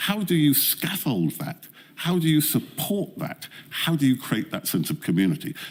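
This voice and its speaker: Lively intonation and a moderate pace in a man's normal speaking voice, pitched fairly high. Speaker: expert witness at public inquiry. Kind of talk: inquiry testimony.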